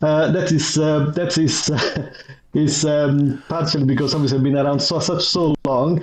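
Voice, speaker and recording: Through noticeable background noise, a man with an Italian accent talks at a moderate pace and a fairly high pitch. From Italy. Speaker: IT manager and user group vice chair. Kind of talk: podcast interview. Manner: halting, many repetitions and fillers.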